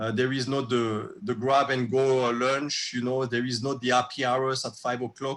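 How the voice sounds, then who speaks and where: A man with a French accent, medium pitch, monotone and flat, at a moderate pace with hardly any pauses. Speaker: restaurateur. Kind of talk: casual chat. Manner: halting, many fillers.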